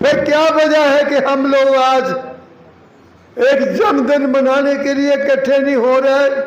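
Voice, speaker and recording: Amid noticeable background noise and audible room echo, a man speaks in a monotone, flat intonation at very even loudness. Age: 80s+. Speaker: speaker at a community event. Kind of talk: public speech. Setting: auditorium with audience. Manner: impassioned.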